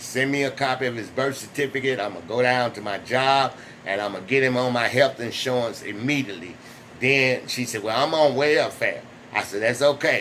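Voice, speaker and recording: A man at a fairly quick pace with ordinary pitch variation, over noticeable background noise. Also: medium pitch for a man. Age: 60s. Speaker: vlogger sharing personal experience. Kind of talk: personal testimony vlog. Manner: halting, with restarts.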